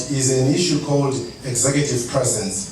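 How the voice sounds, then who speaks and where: There is noticeable background noise behind a man talking at a medium pitch. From Zimbabwe. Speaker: bank CEO. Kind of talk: leadership talk to an audience.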